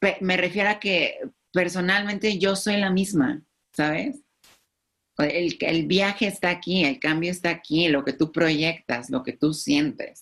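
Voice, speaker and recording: This woman has a plain, everyday voice with a fairly low pitch. She speaks at a fairly slow pace with lively intonation and very even loudness. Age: 20s. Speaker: YouTube influencer. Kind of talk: podcast interview.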